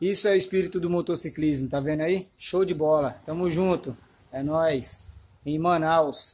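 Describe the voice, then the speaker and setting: Delivered at a moderate pace, the speech carries fairly even intonation. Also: man. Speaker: motorcycle traveler vlogger. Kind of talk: casual vlog chat. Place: garage. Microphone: phone near.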